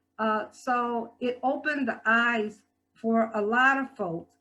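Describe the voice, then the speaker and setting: Music plays in the background as a woman speaks at a very slow pace. Her pitch is fairly high and her intonation fairly even. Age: 60s. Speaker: guest speaker and health department worker. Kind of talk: talk at a church service. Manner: halting with frequent fillers and repetitions.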